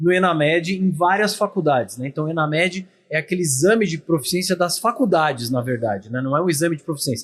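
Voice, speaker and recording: Speaking at a fairly quick pace with lively intonation, this voice has a São Paulo accent on a very clean recording with a silent background. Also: man. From São Paulo, Brazil. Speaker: podcast host. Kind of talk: podcast interview. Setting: at a dental congress event.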